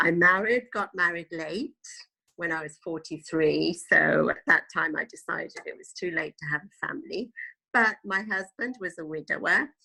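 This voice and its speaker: A woman with a British accent at a moderate pace, with big swings in loudness. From England, moved from Italy at five. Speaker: tour guide. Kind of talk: interview. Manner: hesitant, many fillers.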